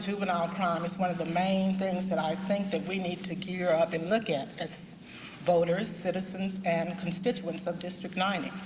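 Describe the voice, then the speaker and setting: Amid noticeable background noise and audible room echo, a woman with an American accent speaks at a medium pitch and moderate pace in monotone, flat intonation. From Fort Worth, Texas. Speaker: political candidate. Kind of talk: campaign speech at candidates forum. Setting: forum with live audience.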